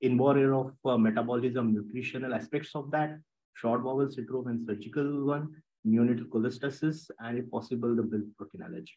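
With ordinary pitch variation, a man talks fairly quickly. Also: quiet background. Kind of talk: lecture. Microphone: webcam.

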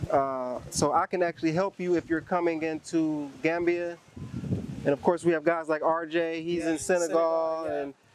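Monotone, flat speech from a man, dry with no echo, over noticeable background noise. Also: moderate pace. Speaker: interviewee. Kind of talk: interview answer. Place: beach.

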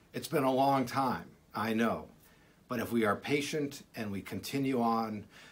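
A man's speech goes along fairly slowly, its pitch shifting in an ordinary way. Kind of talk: pastoral message, sermon-like. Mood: warm, reassuring, hopeful. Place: office. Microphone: phone near.

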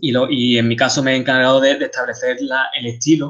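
Speaking with an Andalusian accent, a man uses a medium pitch. His intonation is monotone and flat. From Seville, Spain. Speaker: game artist. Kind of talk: lecture. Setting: video call.

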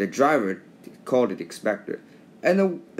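What we hear is plain reading aloud.

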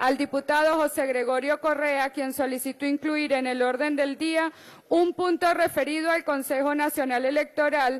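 Against a quiet background, a woman with a high pitch speaks at a moderate pace in a monotone, flat intonation. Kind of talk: formal reading of session minutes. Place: hall. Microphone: podium.

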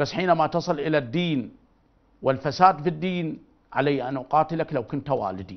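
A man with an Iraqi accent speaks at a moderate pace with vocal fry and ordinary pitch variation. The background is quiet. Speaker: religious figure; TV guest, speaker. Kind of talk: interview. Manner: animated. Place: studio.

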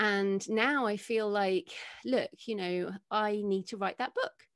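A woman speaks at a moderate pace with an English accent and ordinary pitch variation. The background is quiet. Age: 40s. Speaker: author and podcaster; podcaster. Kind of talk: interview. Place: home room. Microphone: studio mic.

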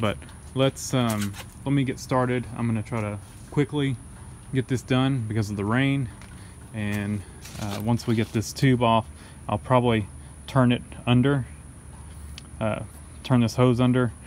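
Speech moves at a moderate pace with long, frequent pauses. Light background noise sits under a dry sound with no echo. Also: man, ordinary pitch variation. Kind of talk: tutorial. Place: garden. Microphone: phone near.

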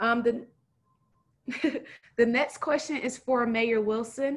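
A woman speaks at a fairly high pitch and a fairly slow pace.

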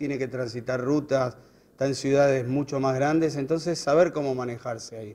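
A man with a Buenos Aires accent talks at a moderate pace with a fairly high pitch and fairly even intonation. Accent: Rioplatense Spanish (Buenos Aires). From Buenos Aires, Argentina; Argentina. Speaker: road safety educator. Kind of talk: interview. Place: hall. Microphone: handheld.

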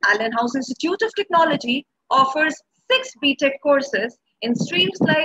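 A woman's raised, projected voice over a quiet background. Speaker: event host. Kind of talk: formal welcome address. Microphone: earbuds.

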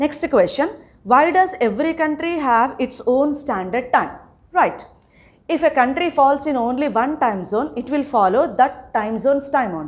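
In an Indian accent, a woman with a high pitch speaks with lively intonation. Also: moderate pace. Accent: Indian English (Telugu). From India, Telangana. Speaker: school teacher. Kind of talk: lecture. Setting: recorded online class. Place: classroom.

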